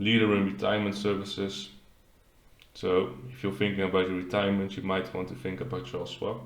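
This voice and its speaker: With a Dutch accent, a man talks at a fairly quick pace in a fairly low voice with vocal fry and ordinary pitch variation. Audible room echo surrounds the recording. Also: big swings in loudness. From Netherlands. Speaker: finance YouTuber. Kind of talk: tutorial.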